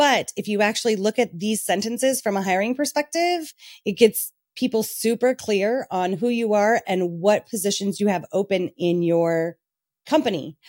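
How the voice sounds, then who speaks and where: A woman speaks in an ordinary speaking voice at medium pitch, with lively intonation and a moderate pace. The sound is dry and close, with no echo. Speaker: business owner and CEO. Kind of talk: casual interview chat.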